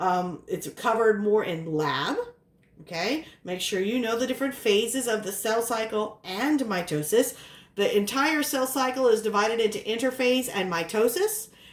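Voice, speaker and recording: A woman talks at a moderate pace with a fairly high pitch and lively intonation. Room echo can be heard around her. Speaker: biology professor. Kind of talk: lecture.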